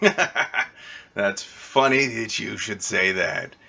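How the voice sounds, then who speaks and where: In a put-on character voice, a man speaks very slowly with a smug, gravelly tone at medium pitch. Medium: actual play. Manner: smug, mocking.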